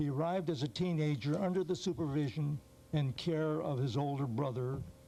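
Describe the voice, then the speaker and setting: Speaking at a moderate pace, a man with a dark, mellow tone uses a fairly high pitch and ordinary pitch variation. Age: 70s. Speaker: retiree testifying at a hearing. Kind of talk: testimony. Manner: formal.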